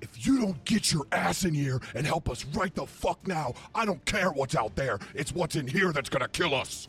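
Putting on a character voice, a man speaks fairly high at a moderate pace. Clear background noise runs underneath. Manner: gruff, panicked, urgent.

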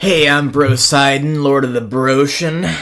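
A strained, put-on character voice at a low-to-middle pitch, moving at a moderate pace. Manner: flexing, strained bravado.

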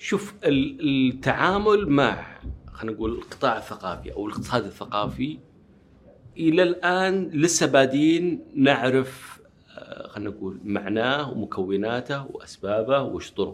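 Delivered at a fairly slow pace, a man's fairly high voice moves through very wide pitch swings. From Saudi Arabia, Riyadh (Najd). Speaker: journalist and publishing executive. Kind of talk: interview.

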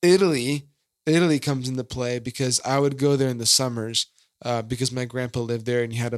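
A man with a Californian accent talks at a very fast pace, his intonation fairly even. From California and Massachusetts. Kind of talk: casual chat.

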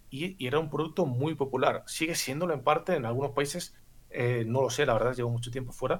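A man rushes along at a very fast pace, his voice somewhat breathy and his pitch varying in an ordinary way. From Bulgaria. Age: 30s. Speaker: former poker player. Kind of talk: casual chat. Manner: articulate, precise wording.

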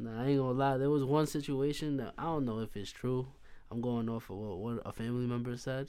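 A man with an American accent speaks in an ordinary speaking voice at a medium pitch, his intonation fairly even. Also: fairly quick pace. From Hempstead, Long Island, New York. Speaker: podcast guest. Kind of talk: casual chat.

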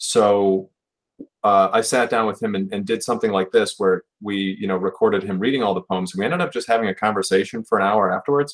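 A man speaks with a Buffalo accent at a fairly quick pace. His pitch is fairly low, with ordinary variation. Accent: Western New York (Buffalo) American. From Buffalo, New York. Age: 30s. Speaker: writer and publisher. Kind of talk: casual interview.

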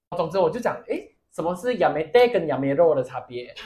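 An animated man at a very fast pace, fairly high in pitch, with very wide pitch swings. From Malaysia. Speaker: podcast co-host. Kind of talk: casual chat. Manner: animated, laughing often.

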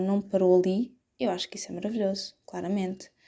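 A woman speaks at a moderate pace with a dark, mellow tone and medium pitch. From Portugal, Setúbal. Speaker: podcaster. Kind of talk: casual solo podcast monologue. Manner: hesitant, many fillers.

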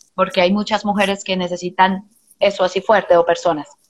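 A woman of medium pitch talks with fairly even intonation in an unremarkable speaking voice. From Colombia, Medellín. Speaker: psychologist and therapist. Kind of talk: casual chat. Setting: video call.

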